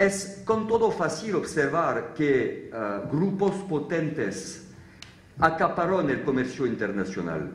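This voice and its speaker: A man's fairly high-pitched voice at a very slow pace, with very wide pitch swings. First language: French (speaking Spanish). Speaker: law professor. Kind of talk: conference talk. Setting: theatre stage with audience. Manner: halting, with frequent fillers.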